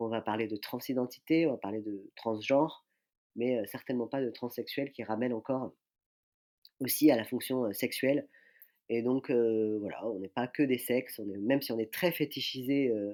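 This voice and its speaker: In a very clean recording with a silent background, a man with a medium pitch and a dark, mellow tone talks at a moderate pace with fairly even intonation. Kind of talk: podcast interview. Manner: hesitant, many fillers.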